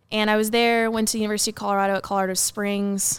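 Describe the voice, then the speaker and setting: A woman's medium-pitched voice with an American accent, monotone and flat, on a very clean recording with a silent background. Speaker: soldier and sport shooter. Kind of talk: casual chat.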